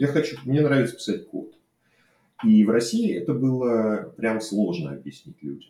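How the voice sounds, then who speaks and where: Using a dark, mellow tone at medium pitch, a man speaks at a fairly slow pace with very wide pitch swings, big swings in loudness and long, frequent pauses. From Russia, Saint Petersburg. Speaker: software developer. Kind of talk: unscripted personal monologue. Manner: hesitant, many fillers. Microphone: cheap microphone.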